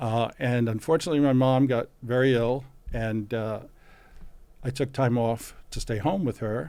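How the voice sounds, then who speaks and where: A man with a New York accent speaks in a dark, mellow tone with ordinary pitch variation. The recording is very clean, the background silent. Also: medium pitch for a man, moderate pace. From New York City, Brooklyn. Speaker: physician and antiques expert. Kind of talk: interview. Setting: podcast interview. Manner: halting, many fillers.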